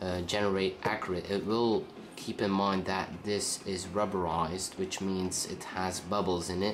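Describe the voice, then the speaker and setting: A man speaks at a very deep, low pitch in a monotone, flat delivery. Audible room echo surrounds his voice. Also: moderate pace. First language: Dutch. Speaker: tech reviewer. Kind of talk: product review. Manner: halting.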